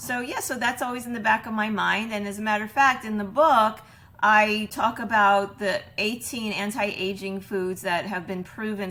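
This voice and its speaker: A woman's medium-pitched voice at a moderate pace, bright and sharp in tone, with ordinary pitch variation. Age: 60s. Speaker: plant-based chef and cookbook author. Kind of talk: podcast interview. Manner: hesitant with many fillers and repeats.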